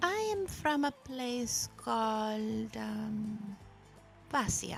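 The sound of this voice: Using a put-on character voice, a woman speaks at a very slow pace with a fairly high pitch, ordinary pitch variation and vocal fry, over faint music in the background.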